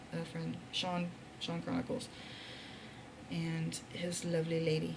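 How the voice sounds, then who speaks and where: A woman is whispering. Noticeable background noise and audible room echo surround her. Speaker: vlogger. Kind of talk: casual vlog monologue. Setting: hotel room.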